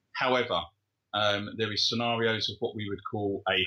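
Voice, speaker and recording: The voice carries an English accent. Its intonation is flat and monotone. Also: man. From England. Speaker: kickboxing referee. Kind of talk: interview. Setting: remote call from his living room.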